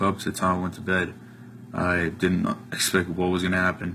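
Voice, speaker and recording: With music in the background, someone speaks in an American accent at a moderate pace. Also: man. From US Northeast, New Jersey. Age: 20s. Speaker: college student giving a testimonial. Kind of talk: testimony. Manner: casual with many filler ums.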